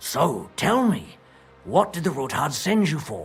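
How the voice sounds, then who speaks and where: A man's put-on character voice, raspy and high-pitched, at a fairly slow pace, with faint music in the background. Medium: video game. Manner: blunt, colloquial.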